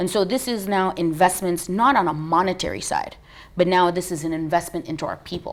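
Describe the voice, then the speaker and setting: In an American accent, a woman speaks at a fairly quick pace in a fairly low pitch, with an unremarkable speaking voice. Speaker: business founder and CEO. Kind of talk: TV interview.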